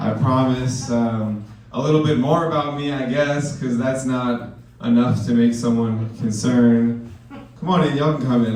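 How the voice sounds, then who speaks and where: A man talks at a moderate pace with a medium pitch. Audible room echo and noticeable background noise surround him. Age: 20s. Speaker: stand-up comedian. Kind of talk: stand-up. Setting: stage with audience. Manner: animated.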